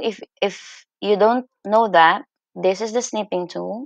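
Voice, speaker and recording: A woman speaks at a very slow pace. The background is quiet and the sound is dry with no echo. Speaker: teacher. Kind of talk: screen-recorded tutorial. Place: home room. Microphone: webcam.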